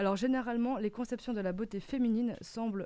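A woman talks at a moderate pace. Her tone comes across as dark and mellow. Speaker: radio panelist. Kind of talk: casual radio chat. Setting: studio.

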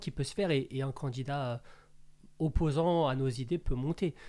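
The voice belongs to a man, with a fairly high pitch, a dark, mellow tone, and ordinary pitch variation. He keeps a moderate pace against a quiet background. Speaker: brand founder, former financial controller. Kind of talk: political discussion. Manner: halting.

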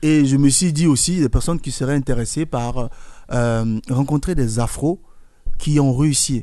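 Speaking at a fairly slow pace, the man has a fairly high pitch, a dark, mellow tone and ordinary pitch variation. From Ivory Coast. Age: 40s. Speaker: event organizer, former singer. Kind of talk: radio interview.

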